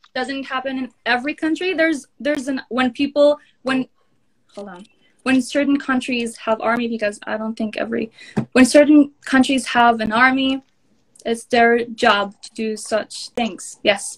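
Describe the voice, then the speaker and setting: Pausing long and often, a woman speaks at a high pitch with ordinary pitch variation and big swings in loudness. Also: moderate pace. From northern Israel. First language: Hebrew. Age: 20s. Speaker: social media influencer. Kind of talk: heated debate. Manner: halting.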